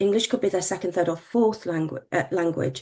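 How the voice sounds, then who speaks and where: A woman with a British accent speaks at a medium pitch. Her tone is dark and mellow, with ordinary pitch variation. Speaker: medtech regulatory executive. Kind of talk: panel discussion.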